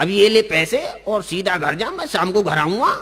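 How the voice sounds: The put-on character voice is bright and sharp with a slightly husky edge and big pitch swings. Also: man, high pitch for a man, moderate pace.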